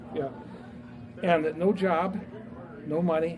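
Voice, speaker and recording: With crowd noise behind him and audible room echo, a high-pitched man speaks very slowly in a Midwestern US accent. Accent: US Midwest. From Indiana, Fort Wayne area. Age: 80s+. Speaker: business founder and author. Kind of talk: speech to a live audience. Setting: talk at a restaurant event with audience. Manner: hesitant, many fillers.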